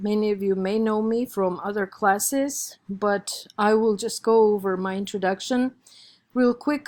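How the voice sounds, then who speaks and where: On a very clean recording with a silent background, a woman in an Armenian accent speaks at a moderate pace with a fairly high pitch and fairly even intonation. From Armenia, Yerevan. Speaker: college instructor. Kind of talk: lecture.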